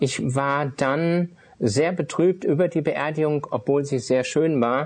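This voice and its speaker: A man is speaking. His voice sits fairly high. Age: 50s. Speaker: itinerant minister, former art dealer. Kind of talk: personal testimony interview. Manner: hesitant, many filler sounds.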